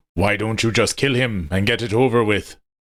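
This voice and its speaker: A man puts on a growling character voice with a solemn tone, medium pitch and fairly even intonation, speaking at a moderate pace. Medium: read story. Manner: solemn, formal.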